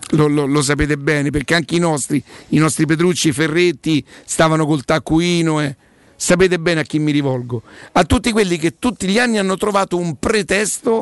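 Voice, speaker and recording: A man talks at a fairly quick pace, his pitch fairly high with ordinary variation. The background is quiet and the sound is dry and close, with no echo. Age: 60s. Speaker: sports radio host. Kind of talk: casual chat; sales pitch. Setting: studio. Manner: animated.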